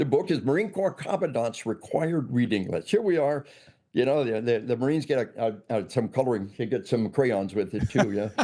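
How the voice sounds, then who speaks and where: With a dark, mellow tone, a man speaks using lively intonation. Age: 60s. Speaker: law enforcement trainer and author. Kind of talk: interview. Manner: repetitive stammering restarts; emphatic.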